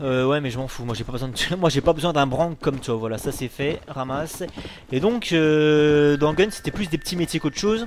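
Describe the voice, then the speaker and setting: A man with a fairly high pitch speaks in an animated tone at a moderate pace. His pitch varies in an ordinary way over noticeable background noise. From Dijon, France. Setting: home recording. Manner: animated, loud, swearing.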